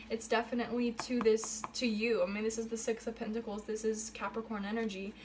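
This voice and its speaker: Over noticeable background noise, a woman talks at a fairly quick pace with a fairly high pitch. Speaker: tarot reader. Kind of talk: tarot reading monologue. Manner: hesitant, many fillers.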